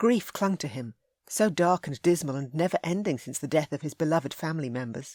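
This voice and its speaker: A woman talks at a fairly quick pace with a very deep, low pitch. The recording is very clean with a silent background, and the sound is dry and close, with no echo. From UK. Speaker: audiobook narrator. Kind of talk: audiobook narration of a romance novel.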